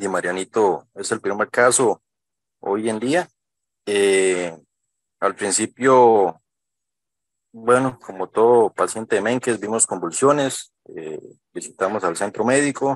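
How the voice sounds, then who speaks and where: Over a quiet background, speech comes at a very slow pace with long, frequent pauses and ordinary pitch variation, in a dry sound with no echo. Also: man, fairly low pitch for a man. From Costa Rica. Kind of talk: testimony. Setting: video call. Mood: grateful, earnest. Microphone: video call.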